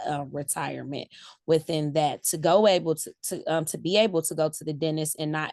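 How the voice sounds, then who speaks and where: Against a quiet background, a woman with an American accent speaks at a moderate pace in a very deep, low pitch, with ordinary pitch variation. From US Midwest, greater Cleveland, Ohio. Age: 40s. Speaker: salon owner. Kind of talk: interview.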